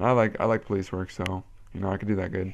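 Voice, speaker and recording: In an American accent, a man speaks at a fairly quick pace with a fairly low pitch and monotone, flat intonation. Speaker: vlogger and Air Force enlistee. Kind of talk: casual vlog monologue. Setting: webcam video. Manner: casual, rambling, filler words.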